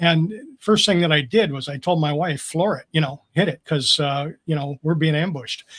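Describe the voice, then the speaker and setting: Here a man with a plain, everyday voice speaks at a fairly high pitch. The pace is moderate and the pitch variation ordinary. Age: 60s. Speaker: Marine Corps veteran. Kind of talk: casual chat.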